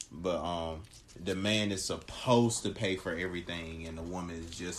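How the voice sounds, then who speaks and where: A man speaks at a very deep, low pitch. His pace is moderate. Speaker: host's boyfriend, gamer. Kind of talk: casual chat. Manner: monotone; halting, many fillers.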